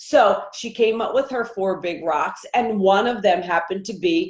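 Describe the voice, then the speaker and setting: A woman speaks in a normal speaking voice. Her pace is fairly slow, with ordinary pitch variation. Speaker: life coach. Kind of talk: live stream coaching talk. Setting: live video stream.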